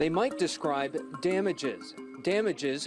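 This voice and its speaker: A man's high-pitched voice at a moderate pace, with music in the background. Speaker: TV news reporter and anchor. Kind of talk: TV news feature narration.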